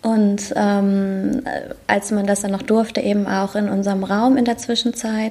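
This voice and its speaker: Noticeable background noise surrounds a woman speaking at medium pitch. She talks fairly slowly with monotone, flat intonation. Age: 30s. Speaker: pastor. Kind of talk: casual interview chat. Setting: video call.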